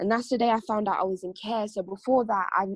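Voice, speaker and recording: In a British accent, a woman of medium pitch talks at a very fast pace with fairly even intonation, recorded dry and close with no echo. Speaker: spoken word poet and care leaver. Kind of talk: spoken word performance and personal testimony. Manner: more intense when performing.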